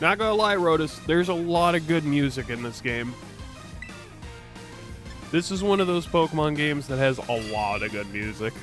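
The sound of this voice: With music in the background, a man with a Chicago accent and a fairly high pitch speaks at a moderate pace with lively intonation and long, frequent pauses. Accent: Chicago twang.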